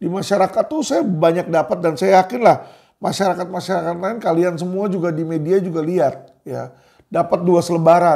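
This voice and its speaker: With a high pitch and ordinary pitch variation, a man speaks at a fairly quick pace. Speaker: lawyer and commentator. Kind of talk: monologue commentary to viewers. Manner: casual, with frequent fillers.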